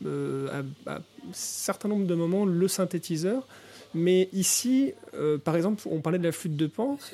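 A man speaks in a high voice at a fairly slow pace. His pitch varies in an ordinary way. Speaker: podcast co-host. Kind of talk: interview. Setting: bistro.

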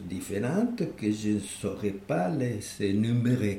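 A man speaks in a Spanish accent, his tone dark, mellow and somewhat breathy. Audible room echo surrounds the voice. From Uruguay. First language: Spanish (speaking French). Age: 80s+. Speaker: architect. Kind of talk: interview. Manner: halting, repeats words.

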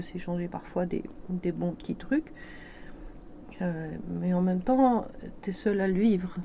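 A woman speaks at medium pitch with ordinary pitch variation. Her tone is dark and mellow and somewhat breathy. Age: 50s. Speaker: business coach. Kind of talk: testimony. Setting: studio.

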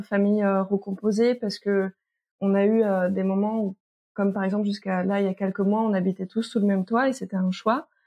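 The woman's intonation stays fairly even. She speaks at a medium pitch. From France, moved a lot, partly French Guiana. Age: 30s. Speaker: sexologist and teacher. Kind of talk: testimony. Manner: hesitant, many fillers.

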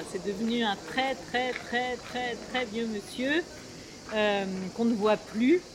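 Noticeable background noise surrounds a woman speaking at a very slow pace. Her pitch is fairly high, and she takes long, frequent pauses. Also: ordinary pitch variation. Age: 50s. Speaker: playwright and theatre director. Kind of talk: interview. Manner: hesitant, many fillers.

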